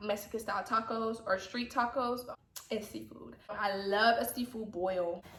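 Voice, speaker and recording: The speaker has an American accent and an animated tone at a moderate pace. Noticeable background noise is present. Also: woman. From US South, Atlanta, Georgia. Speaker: YouTuber. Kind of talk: casual vlog chat.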